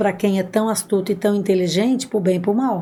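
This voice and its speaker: Her voice sits at a medium pitch with a dark, mellow tone. There is a somewhat breathy quality to this woman's speech. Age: 60s. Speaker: adoptive mother. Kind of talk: podcast interview.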